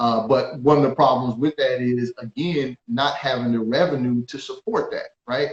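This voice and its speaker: Somewhat breathy, the voice moves at a moderate pace with hardly any pauses and ordinary pitch variation. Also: man, medium pitch for a man. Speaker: business and tax attorney. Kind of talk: interview discussion. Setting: at home, remote live stream.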